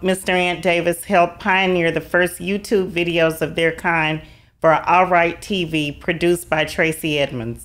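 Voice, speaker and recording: Speaking at a moderate pace, a woman with a Southern US accent has a fairly low pitch. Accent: Southern twang. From US South. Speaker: podcast host. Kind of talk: interview; reading aloud.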